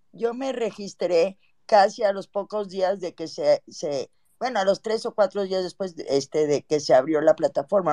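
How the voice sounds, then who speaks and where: Dark and mellow in tone, the voice moves at a moderate pace with ordinary pitch variation and a dry, close sound free of echo. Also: woman. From Mexico (born in Cuba, left around 1960). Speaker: caller. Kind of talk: casual chat.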